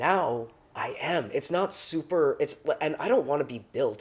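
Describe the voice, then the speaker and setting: A man with lively intonation. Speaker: vlogger. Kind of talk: casual vlog monologue. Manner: halting, many restarts.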